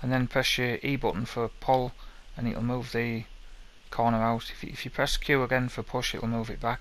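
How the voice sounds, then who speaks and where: At a moderate pace, a man of medium pitch speaks with a strong Northern English accent, the sound dry with no echo. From Northern England. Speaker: game level-building tutorial maker. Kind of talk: screen-recorded software tutorial narration. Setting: headset microphone, low quality. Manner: casual, hesitant, repeats words. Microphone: headset.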